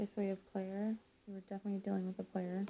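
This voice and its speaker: This woman speaks quietly. Her pitch sits in the middle range. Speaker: tarot reader. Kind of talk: tarot reading. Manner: quiet, subdued.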